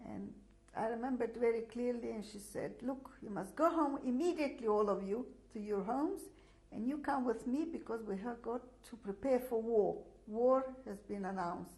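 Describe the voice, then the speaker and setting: A woman's fairly high voice with a Russian accent, at a moderate pace, with audible room echo. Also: ordinary pitch variation. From Latvia (Daugavpils). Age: 60s. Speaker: Holocaust survivor. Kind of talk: testimony. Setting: filmed interview. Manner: halting, many fillers.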